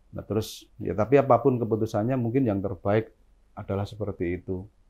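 With a dark, mellow tone and a somewhat breathy quality, this voice moves at a moderate pace with ordinary pitch variation over a quiet background. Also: man. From Central Java (Boyolali), Indonesia; Central Java, Indonesia. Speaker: entrepreneur; interview guest. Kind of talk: interview. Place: office. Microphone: lapel.

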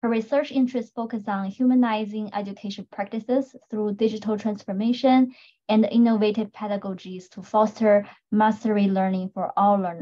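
A woman's dark, mellow, somewhat breathy voice at a moderate pace with fairly even intonation. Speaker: panel moderator. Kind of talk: panel introduction, reading bios. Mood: friendly, lightly laughing. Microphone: video call.

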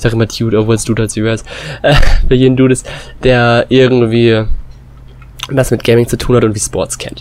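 A man speaks at a medium pitch. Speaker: gaming YouTuber. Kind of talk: gameplay commentary. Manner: casual, filler-heavy.

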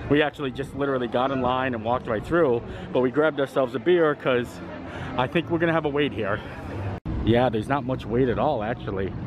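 Noticeable background noise surrounds a man speaking at a very fast pace. His voice sits at medium pitch with ordinary pitch variation. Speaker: travel vlogger. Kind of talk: vlog commentary. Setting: outdoors. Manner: animated.

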